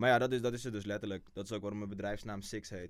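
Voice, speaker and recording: A man speaks at a very fast pace with monotone, flat intonation. His pitch sits fairly low. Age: 20s. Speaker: intern. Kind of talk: interview.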